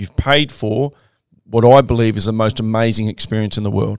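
With an Australian accent, a man of medium pitch uses fairly even intonation in a very clean recording with a silent background and a dry, close sound with no echo. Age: 50s. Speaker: podcast host, former soldier and trek leader. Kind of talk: casual monologue.

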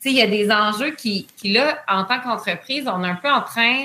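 A woman in an unremarkable speaking voice talks at a moderate pace and fairly high pitch with lively intonation. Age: 30s. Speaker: entrepreneur. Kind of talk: interview.

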